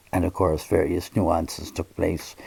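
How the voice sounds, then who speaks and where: This man's dark, mellow, somewhat breathy voice moves at a fairly slow pace. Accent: American. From Ireland, Limerick City. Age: 80s+. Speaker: priest. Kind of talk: interview, personal reminiscence. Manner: halting, with self-corrections and repeated words.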